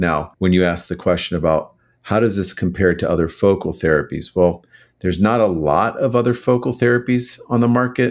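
A man talks in a plain, everyday voice at a fairly low pitch. His pace is fairly quick, with ordinary pitch variation. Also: very clean recording, silent background. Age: 50s. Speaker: urologist. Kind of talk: interview.

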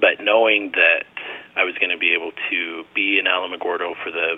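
Noticeable background noise accompanies a man speaking in an American accent. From rural Arizona. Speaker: medical resident. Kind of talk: interview.

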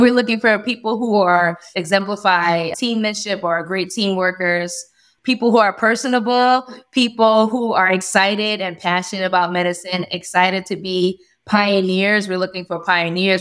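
A moderate pace in an American accent. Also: woman. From New York. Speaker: family physician and residency program director. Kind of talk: interview. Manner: upbeat.

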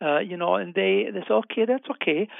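A man talks with a German accent. His pitch is high. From Germany. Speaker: physician and health researcher. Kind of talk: interview.

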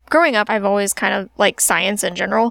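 Dry and close with no echo, a woman talks in a Midwestern American accent. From central Illinois (Springfield area). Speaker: physician assistant. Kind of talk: interview answers, casual. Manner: casual, frequent laughter.

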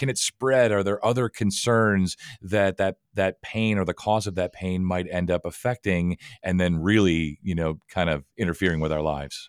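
A man with a very deep, low voice talks at a moderate pace with ordinary pitch variation. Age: 50s. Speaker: podcast host. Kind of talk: interview.

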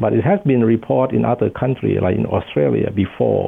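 A man speaks at a medium pitch. Background noise is clearly audible. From Thailand. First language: Thai. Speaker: professor of infectious disease. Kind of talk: interview.

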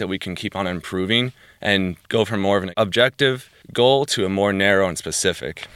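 In a plain, everyday voice, a man with a fairly low pitch talks at a moderate pace with ordinary pitch variation. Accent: American. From New Jersey, US East Coast. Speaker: personal trainer. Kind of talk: interview.

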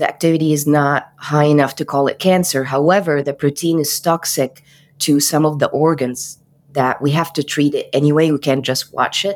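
In a very clean recording with a silent background, a woman with an Arabic accent speaks at a moderate pace in a very deep, low pitch, monotone and flat, at very even loudness. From Egypt, Cairo. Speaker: physician. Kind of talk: interview.

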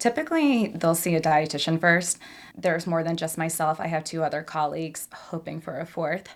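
Here is a woman with a normal speaking voice and a fairly low pitch. She talks at a fairly quick pace with fairly even intonation. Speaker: eating recovery dietitian. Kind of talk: interview discussion.

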